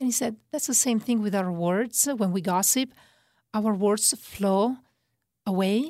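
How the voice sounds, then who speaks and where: Speaking in an Italian accent at a fairly slow pace, this dark, mellow voice keeps its loudness very even, uses ordinary pitch variation, and leaves long, frequent pauses in a very clean recording with a silent background. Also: woman, fairly high pitch for a woman. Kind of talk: religious teaching interview. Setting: pre-recorded studio segment.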